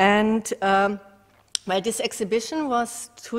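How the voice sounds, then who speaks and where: A woman is speaking. Her pace is fairly slow. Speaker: visual artist. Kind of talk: artist talk. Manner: halting.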